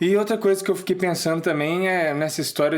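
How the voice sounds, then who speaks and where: A man speaks with a Minas Gerais accent. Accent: mineiro. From Minas Gerais, Brazil. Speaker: podcast co-host. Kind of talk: casual humorous commentary.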